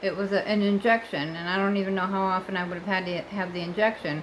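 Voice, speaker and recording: A woman's medium-pitched, plain, everyday voice with an American accent at a moderate pace. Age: 60s. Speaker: vlogger. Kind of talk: casual vlog monologue. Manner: chatty, with fillers and self-corrections.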